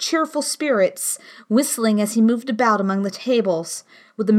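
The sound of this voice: This is an unforced reading voice. The words come out unforced, as a reading.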